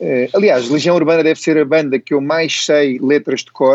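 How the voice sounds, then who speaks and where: With a fairly high voice, a man speaks at a moderate pace. His intonation stays fairly even. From Brazil. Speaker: chef. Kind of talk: casual personal talk about favourite music. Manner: halting, with repetitions and fillers.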